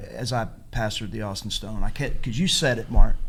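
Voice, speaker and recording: A man with a Texan accent speaks at a moderate pace with audible room echo. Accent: Texan Southern. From East Texas. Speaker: pastor and church planter. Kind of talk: casual panel discussion.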